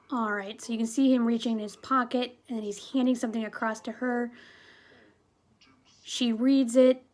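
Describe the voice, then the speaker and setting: A woman talks at a moderate pace in a high pitch, her intonation monotone and flat, broken by long, frequent pauses. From New England. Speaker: movie reviewer. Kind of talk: casual video review monologue. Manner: casual, filler-heavy.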